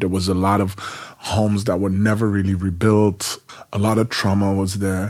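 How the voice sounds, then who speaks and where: Noticeable background noise runs under this man's voice. His pitch is fairly low, his intonation monotone and flat, and his pace moderate. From Netherlands, Rotterdam. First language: Dutch. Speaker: poet and performer. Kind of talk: interview.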